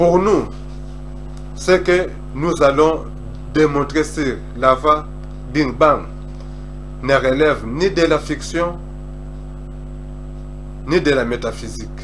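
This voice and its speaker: A man talks very slowly, leaving long, frequent pauses, with noticeable noise in the background. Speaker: self-taught cosmology essayist. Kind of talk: lecture-style talk on cosmology and scripture.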